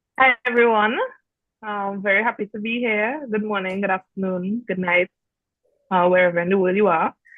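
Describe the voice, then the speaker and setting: Music plays behind a woman speaking at a moderate pace. Her pitch is medium, with fairly even intonation. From Trinidad and Tobago. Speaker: student leader, lawyer. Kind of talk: casual chat.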